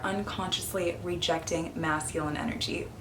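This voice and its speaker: Over noticeable background noise and audible room echo, a woman speaks at a moderate pace with ordinary pitch variation. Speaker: feminine energy coach. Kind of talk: casual vlog talk to camera.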